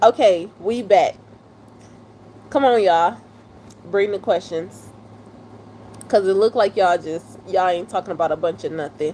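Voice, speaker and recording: Moderate pace with ordinary pitch variation and long, frequent pauses. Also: woman, medium pitch for a woman. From Detroit, US Midwest. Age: 30s. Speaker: live streamer. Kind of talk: live stream chat with viewers. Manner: animated.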